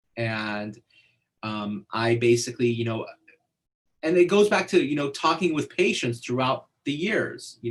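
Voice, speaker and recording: A somewhat breathy man's voice at a moderate pace, with lively intonation. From born in Iran, fled as a child. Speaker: neuroscientist. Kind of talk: interview. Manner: halting, many fillers.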